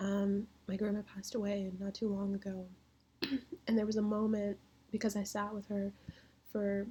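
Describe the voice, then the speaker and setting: A woman's somewhat breathy voice at medium pitch, dark and mellow in tone, moves at a moderate pace in a monotone, flat intonation with long, frequent pauses. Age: 20s. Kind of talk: casual talk to camera.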